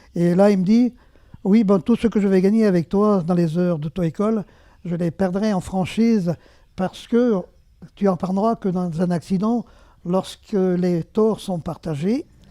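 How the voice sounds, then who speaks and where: A man speaks fairly slowly at a high pitch, with a dark, mellow tone, ordinary pitch variation and big swings in loudness. The recording is very clean with a silent background, and the sound is dry and close with no echo. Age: 70s. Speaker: retired resident sharing memories. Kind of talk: personal testimony. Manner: hesitant, many fillers.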